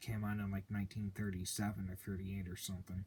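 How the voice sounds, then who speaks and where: Somewhat breathy and fairly low in pitch, a man talks at a very fast pace. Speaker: VHS collector video host. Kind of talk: casual unboxing commentary.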